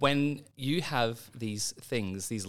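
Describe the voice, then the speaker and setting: This man speaks with an Australian accent in a fairly low pitch. His pitch varies in an ordinary way, in a very clean recording with a silent background. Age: 30s. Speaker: medical doctor and children's author. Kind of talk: interview. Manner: halting, with repetitions; animated.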